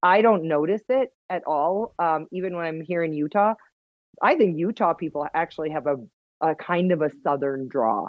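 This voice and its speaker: Lively intonation at a moderate pace, spoken with a Wisconsin accent. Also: woman, fairly low pitch for a woman. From Wisconsin, US Upper Midwest. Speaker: hunter and outdoor TV personality. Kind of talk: casual podcast interview. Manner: animated.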